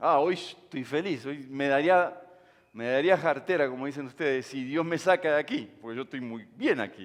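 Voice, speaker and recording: A man's fairly high-pitched voice at a moderate pace, with ordinary pitch variation and big swings in loudness. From Uruguay. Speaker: pastor. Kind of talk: sermon.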